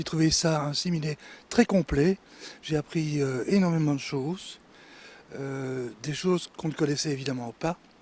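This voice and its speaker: With a fairly high pitch and ordinary pitch variation, a man talks at a fairly slow pace, leaving long, frequent pauses. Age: 60s. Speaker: retired florist. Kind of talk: interview.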